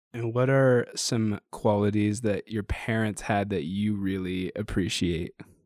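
A man speaks in a normal speaking voice, fairly low in pitch and fairly slow, with hardly any pauses. The sound is dry and close, without echo. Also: fairly even intonation. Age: 20s. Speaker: podcast host and radio worker. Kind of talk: podcast intro monologue; casual podcast interview.

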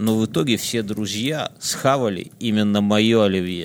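A man's very slow delivery shows ordinary pitch variation. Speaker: podcast co-host. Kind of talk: casual chat. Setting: studio. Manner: animated.

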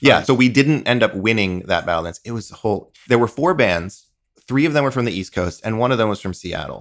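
A man with a Midwestern accent at a fairly quick pace. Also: medium pitch for a man, lively intonation. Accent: general American, Midwestern-leaning. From US Northeast (eastern Long Island, New York). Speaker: musician. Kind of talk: casual chat.

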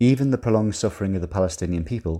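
The voice is dark and mellow, somewhat breathy, with ordinary pitch variation. The recording is very clean, with a silent background. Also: man. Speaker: writer reading his own article. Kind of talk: reading aloud.

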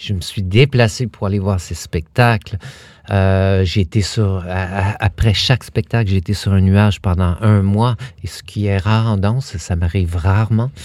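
Here a man with a fairly low pitch talks at a fairly slow pace. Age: 50s. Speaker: dance company artistic director. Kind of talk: interview. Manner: halting.

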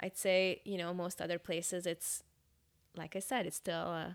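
A woman's fairly low-pitched voice. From Hungary, moved to Northern California at ten. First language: Hungarian. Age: 30s. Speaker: church staff pastor. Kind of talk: personal testimony.

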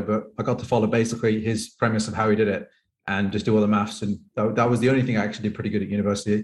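A man's somewhat breathy, medium-pitched voice at a very fast pace with fairly even intonation. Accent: Birmingham. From England, Birmingham. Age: 30s. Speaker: professional poker player and coach. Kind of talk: casual interview chat. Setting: remote call.

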